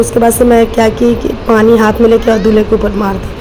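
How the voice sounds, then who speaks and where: Over noticeable background noise, a woman with a fairly high pitch speaks at a moderate pace in a monotone, flat intonation. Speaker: family vlogger. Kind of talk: casual vlog narration. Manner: halting, many fillers.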